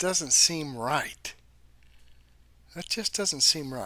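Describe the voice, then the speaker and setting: Female voice with very wide pitch swings. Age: 70s. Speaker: news commentary channel host. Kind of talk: casual commentary over shared videos. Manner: conversational, with fillers.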